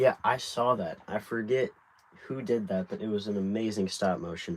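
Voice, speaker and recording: In a plain, everyday voice, a man with an American accent speaks at a moderate pace, with fairly low pitch and fairly even intonation. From United States. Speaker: brick builder livestreamer. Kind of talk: casual livestream chat while building.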